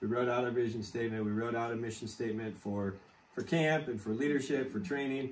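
A man rattles off his words very quickly, his intonation staying fairly level. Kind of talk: casual storytelling interview. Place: home room. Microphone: camera far.

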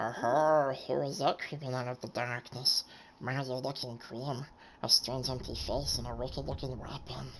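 A put-on character voice sits at a low-to-middle pitch. It moves at a moderate pace. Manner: grim, gravelly creature voice.

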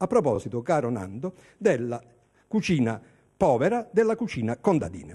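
With a dark, mellow tone, a man's voice moves through very wide pitch swings. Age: 60s. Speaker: TV food and culture host. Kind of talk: casual hosted TV segment. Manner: animated.

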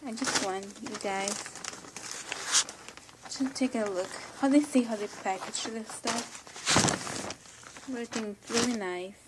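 A woman with a non-native accent speaks at a fairly slow pace with long, frequent pauses, against loud background noise. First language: not English. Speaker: unboxing vlogger. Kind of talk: casual unboxing talk to camera. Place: home room. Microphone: phone near.

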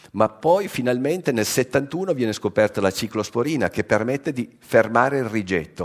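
A man at a moderate pace, lively intonation, quiet background. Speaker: science journalist. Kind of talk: lecture. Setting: stage with audience. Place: hall.

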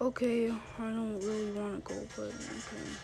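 Over music in the background, a woman puts on a whiny character voice at a moderate pace. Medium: machinima. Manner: whiny, reluctant.

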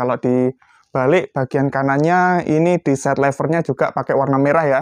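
Against a quiet background, a man speaks at a fairly high pitch and moderate pace, in a dry sound with no echo. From Indonesia. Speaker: airgun shop presenter. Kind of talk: sales pitch. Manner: brisk, upbeat street-seller patter; repetitive, calling out to buyers. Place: shop.

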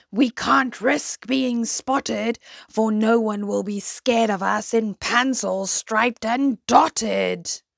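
Putting on a character voice, a woman speaks slowly at a fairly high pitch with vocal fry and ordinary pitch variation, in a dry, close sound with no echo.

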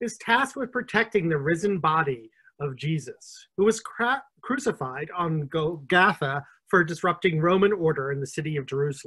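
A man's bright, sharp tone at a moderate pace against a quiet background. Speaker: interview host. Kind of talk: event introduction, then reading a book blurb. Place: home room. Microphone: video call.

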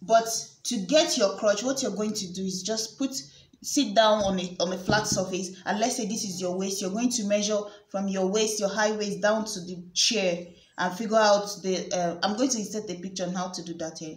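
At a moderate pace, the speech comes through with audible room echo. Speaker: sewing tutor. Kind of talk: tutorial.

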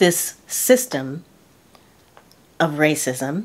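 This woman has a fairly low pitch. She speaks with an American accent. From United States. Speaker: lifestyle YouTuber. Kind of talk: casual talk to camera. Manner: earnest, reflective. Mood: earnest, reflective. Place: home room.

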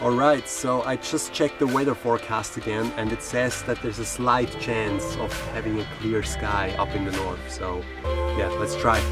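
A man speaks in a dry sound with no echo while clear music plays in the background. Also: moderate pace. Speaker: travel vlogger. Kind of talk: casual vlog chat. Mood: mildly disappointed, upbeat. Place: car.

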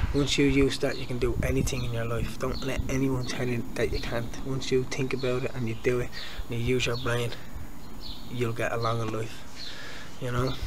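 Noticeable background noise is present. A man talks at a moderate pace over it. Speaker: vlogger. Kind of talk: casual vlog chat. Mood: earnest, motivational. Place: garden. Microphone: phone near.

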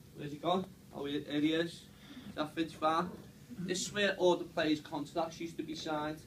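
A man speaks with a Liverpool accent in a monotone, flat intonation. Light background noise is present. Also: fairly high pitch for a man, moderate pace. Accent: Scouse. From Liverpool, England. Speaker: stadium tour guide. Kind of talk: guided tour talk to a group. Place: meeting room. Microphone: camera far.

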